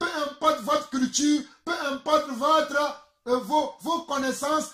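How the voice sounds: A man's extremely high-pitched voice, bright and sharp in tone, with fairly even intonation at a slow pace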